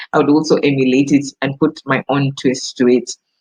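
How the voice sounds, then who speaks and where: Delivered at a moderate pace, the voice has a dry, close sound with no echo. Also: woman. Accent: Kenyan. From Kenya. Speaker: voice actor. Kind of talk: casual talk to camera.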